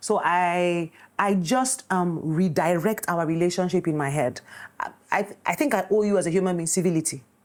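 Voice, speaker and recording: A woman with a Nigerian accent speaks at a moderate pace, her fairly low voice moving with ordinary pitch variation. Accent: Nigerian (Yoruba) English. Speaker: film director. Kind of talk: casual chat.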